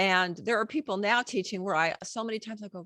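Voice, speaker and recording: A plain, everyday voice at a moderate pace, in a very clean recording with a silent background and a dry, close sound with no echo. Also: woman. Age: 60s. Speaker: book publishing coach and former songwriter. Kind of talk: podcast interview.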